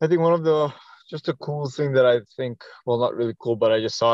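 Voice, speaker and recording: With fairly even intonation, a man speaks at a moderate pace in a plain, everyday voice. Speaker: podcast co-host. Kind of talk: casual chat. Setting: video call.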